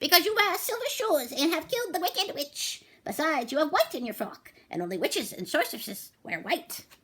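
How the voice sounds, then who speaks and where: Putting on a squeaky character voice, a woman speaks at an extremely high pitch and a fairly quick pace, with very wide pitch swings and hardly any pauses. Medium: read story. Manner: grave, courteous.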